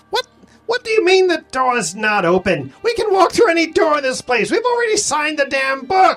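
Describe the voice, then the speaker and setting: A put-on character voice, shrill and high, with very wide pitch swings at a fairly quick pace over faint background music. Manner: indignant, incredulous.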